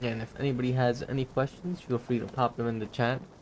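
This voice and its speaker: Against noticeable background noise, the speech runs at a very fast pace with fairly even intonation. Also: man. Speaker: gaming streamer. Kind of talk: live gameplay commentary. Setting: live stream.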